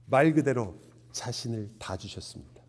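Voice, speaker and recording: This man's voice is fairly low in pitch. Its tone is dark and mellow. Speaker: pastor. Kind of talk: sermon.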